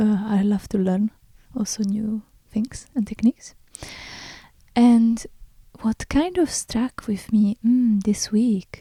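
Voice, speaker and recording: In a dry, close recording with no echo, a woman with a fairly high, somewhat breathy voice and a dark, mellow tone speaks fairly slowly with fairly even intonation. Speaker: podcast host and artist. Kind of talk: unscripted solo podcast talk. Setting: home recording in front of window. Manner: hesitant, many fillers.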